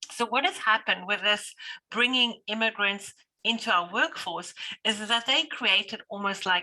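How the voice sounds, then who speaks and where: A woman's fairly high, bright, sharp voice at a moderate pace, in a South African accent. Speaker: business owner or manager. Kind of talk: panel discussion. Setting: video call.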